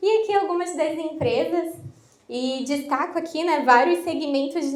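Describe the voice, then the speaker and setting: Over noticeable background noise and audible room echo, a woman talks in an animated tone with ordinary pitch variation. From southern Brazil, Florianópolis. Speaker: IT consultant, workshop presenter. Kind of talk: workshop presentation. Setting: live workshop with audience. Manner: casual, animated.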